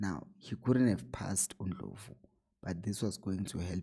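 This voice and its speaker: Quiet and at a moderate pace, a man speaks with a very deep, low pitch, vocal fry, and a dark, mellow tone. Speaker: football analyst YouTuber. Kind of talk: tactical match analysis. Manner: low, quiet voice.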